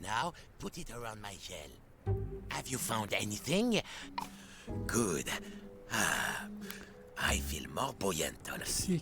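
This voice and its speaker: Over clear background music, a man puts on a character voice at a medium pitch, speaking at a fairly slow pace. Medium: game stream. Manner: cranky, bossy.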